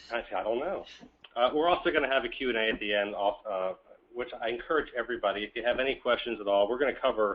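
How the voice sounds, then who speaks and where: This man talks at a very fast pace, his medium pitch showing ordinary variation. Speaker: webinar presenter on social media marketing. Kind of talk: webinar presentation. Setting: online webinar.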